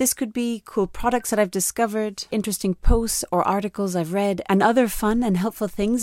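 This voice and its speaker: Speaking at a fairly quick pace, a woman with a medium pitch uses a normal speaking voice and ordinary pitch variation on a very clean recording with a silent background. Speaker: podcast host. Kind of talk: scripted narration.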